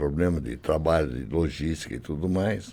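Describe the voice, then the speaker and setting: Speaking at a moderate pace, a man with a very deep, low pitch and a dark, mellow tone uses lively intonation, with vocal fry. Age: 80s+. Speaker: retired programmer and logistics worker, care home resident. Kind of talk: interview.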